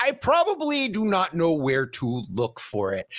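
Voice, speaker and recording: A man with an American accent talks at a very slow pace and a high pitch. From Connecticut. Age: 40s. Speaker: podcast host. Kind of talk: casual chat.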